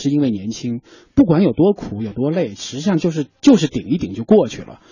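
A man at a moderate pace with lively intonation. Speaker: TV media personality, regular radio guest. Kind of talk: radio talk show conversation. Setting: radio studio.

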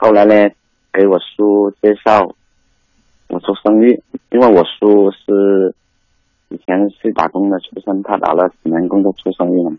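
A man speaks at a fairly slow pace in a fairly low, flat monotone, with long pauses that come often. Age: 30s. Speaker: caller, divorced migrant worker father. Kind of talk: phone-in talk. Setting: phone call.

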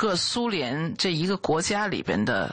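Her intonation sounds lively. The woman's pace is very slow. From Beijing, China. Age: 40s. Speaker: oil painter. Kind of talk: interview. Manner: hesitant, many fillers.

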